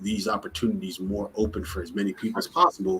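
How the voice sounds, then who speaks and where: A man with a slight Jamaican accent speaks at a fairly low pitch with ordinary pitch variation. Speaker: startup founder. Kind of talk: interview.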